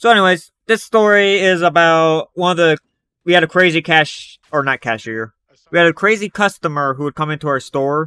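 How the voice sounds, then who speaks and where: A man speaks with a high pitch, ordinary pitch variation and a bright, sharp tone. The recording is very clean, with a silent background. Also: dry, close sound with no echo. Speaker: storytime youtuber. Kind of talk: storytelling monologue. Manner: fast; sometimes hard to understand.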